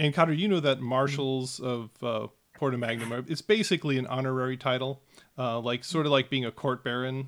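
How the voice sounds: The voice reads text. It is a natural reading voice.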